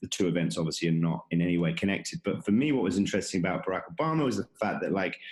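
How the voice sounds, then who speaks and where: A man with an American accent, a very deep, low pitch and lively intonation, at a very fast pace with hardly any pauses. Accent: English accent with an American twang. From England, London. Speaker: conference founder and tech executive. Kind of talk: podcast interview. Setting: video call. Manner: halting, many fillers and repetitions.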